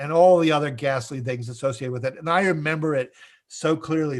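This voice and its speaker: A man speaks with an American accent. His pace is moderate and his pitch varies in an ordinary way. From US Midwest, Minnesota. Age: 60s. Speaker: author and trainer on facial expressions. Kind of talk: interview.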